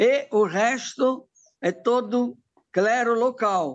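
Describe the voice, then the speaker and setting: In an Italian accent, a man speaks at an extremely high pitch with ordinary pitch variation. The background is quiet. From Italy, Bergamo; Italy. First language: Italian (speaking Portuguese). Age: 70s. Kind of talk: interview. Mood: calm, reflective. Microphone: phone near.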